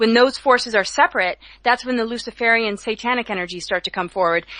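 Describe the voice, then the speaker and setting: Her bright, sharp tone and fairly high pitch mark this woman, who talks at a very fast pace with ordinary pitch variation. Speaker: spiritual speaker, cosmic mythologist. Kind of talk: interview on radio show. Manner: anxious-sounding, not relaxed.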